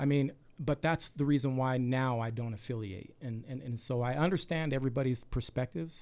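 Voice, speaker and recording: A man with an American accent talks at a fairly quick pace in an unremarkable speaking voice. His pitch is medium, with ordinary pitch variation. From Salt Lake City, Utah. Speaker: community activist, military veteran. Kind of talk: radio interview.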